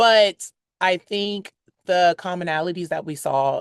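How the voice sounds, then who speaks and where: Heard dry and close with no echo over a quiet background, a woman with an American accent speaks in an ordinary speaking voice at medium pitch with ordinary pitch variation. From United States. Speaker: brand executive at a dating app. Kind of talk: interview conversation.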